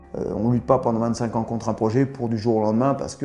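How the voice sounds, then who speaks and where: Against noticeable background noise, a man talks at a very fast pace in a medium pitch with ordinary pitch variation. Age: 60s. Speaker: local anti-nuclear activist. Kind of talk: interview.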